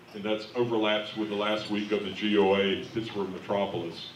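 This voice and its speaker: A man with a fairly low pitch speaks at a moderate pace in a monotone, flat way, with audible room echo and noticeable background noise. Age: 60s. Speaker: bishop. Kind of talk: convention address.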